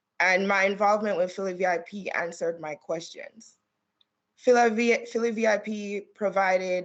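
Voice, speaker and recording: A woman's voice in a Caribbean accent, with fairly even intonation. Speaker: attorney. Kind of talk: testimony. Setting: remote hearing video call.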